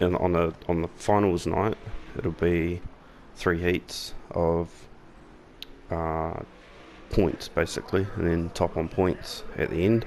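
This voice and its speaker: A man with a New Zealand accent, very deep and low in pitch, very slow, fairly even in intonation, with long, frequent pauses. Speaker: gaming YouTuber. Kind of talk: gameplay commentary. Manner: casual, with frequent fillers.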